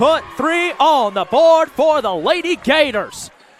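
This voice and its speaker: Over noticeable background noise, a man speaks in an energetic tone. His intonation is lively. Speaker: play-by-play sports broadcaster. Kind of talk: live basketball play-by-play call. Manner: fast, energetic.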